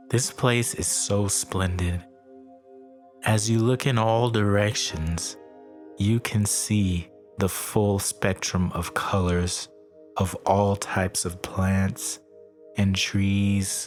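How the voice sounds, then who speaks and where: A man's fairly low voice, calm in tone and fairly even in intonation, with long, frequent pauses over background music. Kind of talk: sleep story meditation narration. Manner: calm, slow, relaxing.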